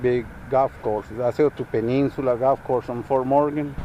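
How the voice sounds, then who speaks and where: There is noticeable background noise as a man with a Spanish accent speaks at a medium pitch. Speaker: farmer. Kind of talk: casual interview. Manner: halting.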